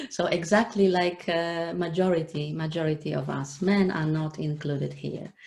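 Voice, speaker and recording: Her pitch fairly low, a woman talks at a moderate pace with hardly any pauses and fairly even intonation over noticeable background noise. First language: not English. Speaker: online show host. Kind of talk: live interview. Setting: live video stream. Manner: halting, many fillers.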